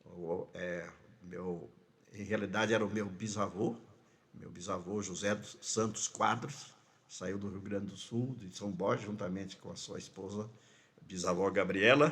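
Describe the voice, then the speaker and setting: In a room with audible echo, a man with fairly low pitch talks fairly slowly, his loudness swinging widely and his pitch varying in an ordinary way. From Mato Grosso do Sul, Brazil (Rio Brilhante, ranch). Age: 70s. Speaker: pastor. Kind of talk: interview, life story. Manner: halting, repetitions.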